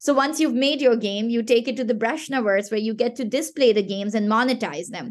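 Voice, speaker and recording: A woman with a Pashto accent, animated in tone, at a fairly quick pace with hardly any pauses. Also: fairly high pitch for a woman, ordinary pitch variation. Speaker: gaming startup founder and CEO. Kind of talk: casual interview.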